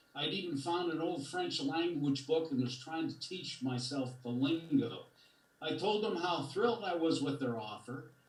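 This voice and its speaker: Audible room echo surrounds a man whose somewhat breathy, fairly high voice shows ordinary pitch variation. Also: moderate pace. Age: 70s. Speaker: community member speaking at public comment. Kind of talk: prepared public comment. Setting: video call. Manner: storytelling.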